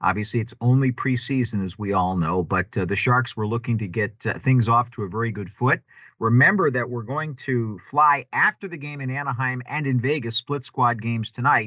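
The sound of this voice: A man speaks at medium pitch with ordinary pitch variation. His tone is bright and sharp, and his pace is moderate.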